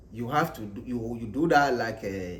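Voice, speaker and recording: Lively intonation from a man, his voice somewhat breathy. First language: not English. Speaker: English learner vlogger. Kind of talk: casual tutorial. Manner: halting, repetitive.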